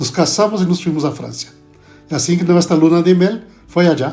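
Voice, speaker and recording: A man with a Brazilian accent, music in the background. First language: Portuguese (speaking Spanish). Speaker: pastor and theology professor. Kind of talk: podcast interview. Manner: halting.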